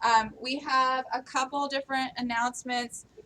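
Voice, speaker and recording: A woman's raised, projected voice, high in pitch. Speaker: company staff presenting town hall announcements. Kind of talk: company town hall announcements. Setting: live-streamed meeting with audience. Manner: loud; hesitant, many filler ums.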